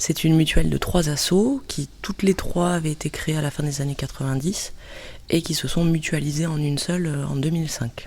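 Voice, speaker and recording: A woman with a very deep, low pitch talks fairly quickly, somewhat breathy, with a dark, mellow tone. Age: 30s. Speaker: cultural mediator. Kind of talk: interview. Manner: hesitant with filler euh.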